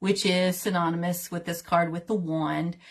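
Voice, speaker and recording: A woman with a Southern accent speaks in a medium pitch, her voice somewhat breathy. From US South, Tennessee. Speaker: tarot reader and teacher. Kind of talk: livestream tutorial. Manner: casual, chatty.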